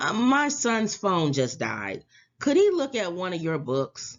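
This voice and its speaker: A put-on character voice, female-sounding and raspy, at a medium pitch for a woman and a fairly slow pace. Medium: read story. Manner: distracted.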